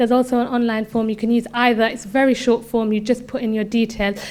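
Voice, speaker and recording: The delivery is fairly quick and monotone, with flat intonation. The recording is very clean, with a silent background. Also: woman. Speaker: council worker. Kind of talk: presentation. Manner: fast.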